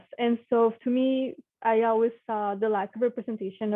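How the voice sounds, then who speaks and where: A woman with a Spanish accent speaks at a fairly high pitch with fairly even intonation. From Mexico. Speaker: engineer. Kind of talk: panel talk. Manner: casual, with many fillers.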